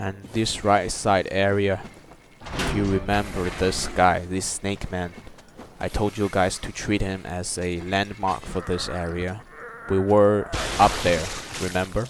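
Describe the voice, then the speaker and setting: With music in the background, a man with a very deep, low pitch and a non-native accent speaks at a fairly slow pace in a monotone, flat way. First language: not English. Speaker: gaming YouTuber. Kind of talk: gameplay walkthrough commentary. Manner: halting, with fillers.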